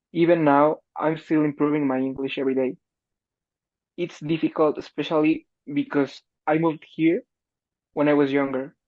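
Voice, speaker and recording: Speaking at a moderate pace with long, frequent pauses, a man with a Spanish accent uses a fairly high pitch and monotone, flat intonation. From Mexico. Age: young. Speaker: college student. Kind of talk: interview.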